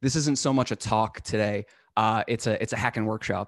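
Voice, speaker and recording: In an unremarkable speaking voice with an American accent, a man talks at a fairly quick pace and medium pitch with fairly even intonation, the sound dry with no echo against a quiet background. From northern Massachusetts. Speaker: cybersecurity instructor. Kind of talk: live hands-on tutorial. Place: home room. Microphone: studio mic.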